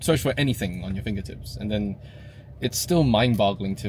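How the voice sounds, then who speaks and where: With vocal fry and lively intonation, a man speaks at a fairly quick pace and a fairly low pitch, the sound dry with no echo and light background noise. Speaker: vlogger. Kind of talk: casual vlog chat. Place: car. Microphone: phone near.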